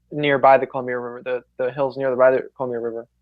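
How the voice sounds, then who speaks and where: A man talks with an American accent and fairly even intonation. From US West Coast, San Francisco Bay Area. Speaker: podcast co-host. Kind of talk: casual chat. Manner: halting, many repeated words.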